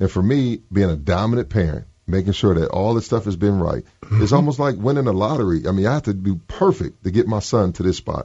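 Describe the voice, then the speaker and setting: Very fast, somewhat breathy speech from a man at fairly low pitch, with hardly any pauses. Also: ordinary pitch variation. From Michigan. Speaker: father of a pro basketball player. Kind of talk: radio interview.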